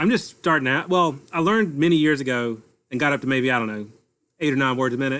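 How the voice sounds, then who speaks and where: Very fast and with a Southern US accent, a man speaks at a medium pitch. His pitch variation is ordinary. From North Carolina. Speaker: amateur radio operator. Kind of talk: casual chat.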